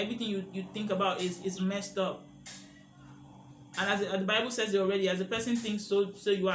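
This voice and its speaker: A man with a high pitch talks at a fairly quick pace, with audible room echo around him. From Nigeria. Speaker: media literacy educator. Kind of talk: educational monologue. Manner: animated.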